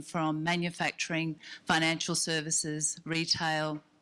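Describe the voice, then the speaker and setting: A woman with an Australian accent speaks at a fairly low pitch in a bright, sharp tone. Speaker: business development executive. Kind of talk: conference presentation.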